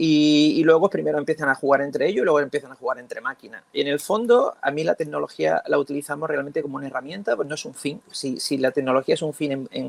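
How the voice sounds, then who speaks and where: The sound is dry and close, with no echo at all. Over it, a man rattles along at a very fast pace. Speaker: school teacher. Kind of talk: round-table talk. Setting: conference panel. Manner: halting.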